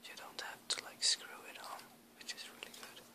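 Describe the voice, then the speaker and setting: The speaker is a man. He whispers while noticeable noise fills the background. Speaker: airbrush hobbyist. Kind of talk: ASMR show-and-tell. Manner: whispered.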